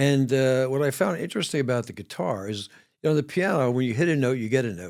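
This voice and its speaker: A man with a New York accent speaks at a medium pitch and a very fast pace. The recording is very clean, with a silent background. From New York City, the Bronx. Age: 70s. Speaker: ER doctor and musician. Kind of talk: interview chat. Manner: halting.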